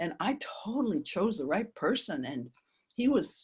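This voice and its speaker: Her voice is fairly high and somewhat breathy. The woman's pitch swings very widely. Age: 70s. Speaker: psychologist and author. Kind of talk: interview conversation.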